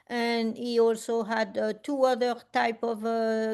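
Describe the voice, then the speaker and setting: Against a quiet background, a woman with a strong French accent speaks at a fairly high pitch. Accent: French accent, still strong. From France. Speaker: community art event host. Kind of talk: casual chat. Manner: halting, many fillers.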